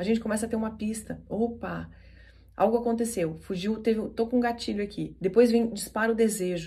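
Somewhat breathy woman with a dark, mellow tone, fairly even intonation and fairly quick pace. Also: fairly high pitch for a woman. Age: 40s. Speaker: NLP coach and podcast host. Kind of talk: motivational talk.

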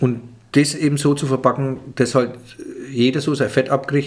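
A man's somewhat breathy, fairly high voice moves at a fairly slow pace. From Franconia. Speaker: comedian. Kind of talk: interview answer. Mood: relaxed, animated. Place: home room. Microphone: studio mic.

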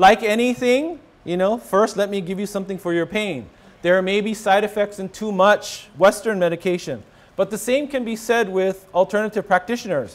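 A man speaks at a moderate pace. His pitch is high, with ordinary variation. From Hawaii. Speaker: rheumatologist; presenter. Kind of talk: lecture. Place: hall. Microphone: podium.

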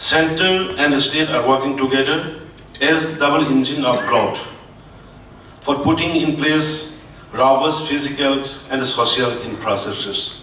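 A man with a fairly high voice speaks at a fairly slow pace with fairly even intonation, with audible room echo and light background noise. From Manipur, northeast India. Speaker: state government official. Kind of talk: formal speech. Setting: stage with audience. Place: hall.

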